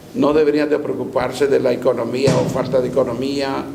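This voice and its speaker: Man at a fairly slow pace, with audible room echo and noticeable background noise. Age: 70s. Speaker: bishop and pastor. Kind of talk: interview.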